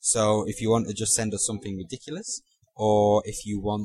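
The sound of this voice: The background is quiet while an unforced reading voice comes through.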